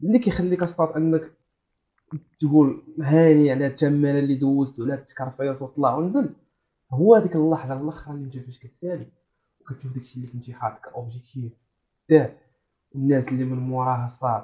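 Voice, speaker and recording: This man's voice sits fairly high and sounds somewhat breathy, with ordinary pitch variation and big swings in loudness. He talks at a fairly quick pace against a quiet background. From Morocco. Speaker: student podcast host. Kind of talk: casual chat. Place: home room.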